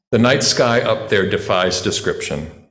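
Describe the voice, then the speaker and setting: Here a man with a medium pitch speaks in an American accent at a moderate pace. Audible room echo is present. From western North Carolina mountains. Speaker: voice teacher giving a lay sermon. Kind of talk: sermon. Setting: church.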